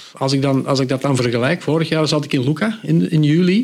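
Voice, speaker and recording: With an ordinary speaking voice, a man talks at a fairly quick pace and a medium pitch, his intonation lively. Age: 50s. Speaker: cycling book author. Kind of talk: podcast interview.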